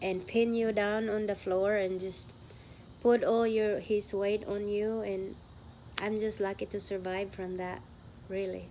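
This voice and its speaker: A woman with a Filipino accent speaks at a fairly slow pace and medium pitch. Her tone is dark and mellow, her intonation monotone and flat. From Philippines. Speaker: vlogger. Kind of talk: testimony.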